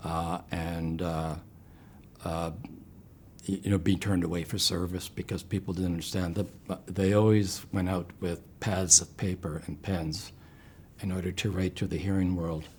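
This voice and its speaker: A man with a Canadian accent speaks with a very deep, low pitch. His intonation is monotone and flat, broken by long, frequent pauses. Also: moderate pace. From Ontario, Canada (Brantford area). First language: home sign (raised by deaf parents). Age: 70s. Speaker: cancer patient. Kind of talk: interview testimony. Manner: halting, many fillers; gentle, reserved.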